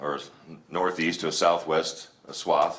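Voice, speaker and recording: A man's monotone, flat delivery, with audible room echo and noticeable background noise. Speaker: village president. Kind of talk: public address with slides. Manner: fast; halting, many fillers.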